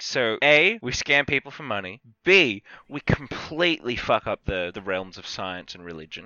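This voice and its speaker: Medium in pitch, a man talks at a moderate pace. His pitch swings very widely and his loudness shifts in big swings. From not Britain. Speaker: podcast co-host. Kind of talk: casual chat.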